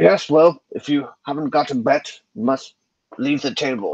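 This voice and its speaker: A man puts on a gruff character voice at a fairly high pitch. His pace is moderate and his pitch varies in an ordinary way. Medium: actual play. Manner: gruff, disdainful.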